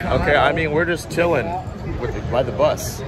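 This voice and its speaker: A man's fairly quick speech has a dry sound with no echo, set against loud background noise. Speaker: vlogger. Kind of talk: casual vlog chat. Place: street. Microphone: phone near.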